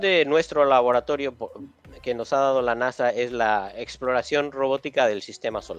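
Over music in the background, a man with a fairly high pitch talks at a moderate pace. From Mexico City. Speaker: space engineer. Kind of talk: interview.

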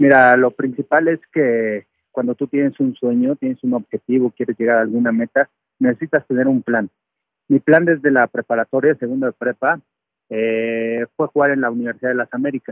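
A man's normal speaking voice, medium in pitch, at a moderate pace with fairly even intonation. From Mexico City. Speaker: retired American football player and sports analyst. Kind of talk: interview testimony.

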